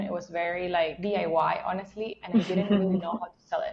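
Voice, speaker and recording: A woman speaks with a Venezuelan accent at a moderate pace, keeping her intonation fairly even. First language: Spanish. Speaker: SEO instructor. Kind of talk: interview.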